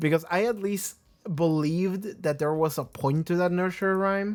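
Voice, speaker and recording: On a very clean recording with a silent background, a man speaks with a non-native accent. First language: not English. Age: 20s. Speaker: TV show reaction youtuber. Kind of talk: casual chat. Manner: rambling, hesitant with fillers.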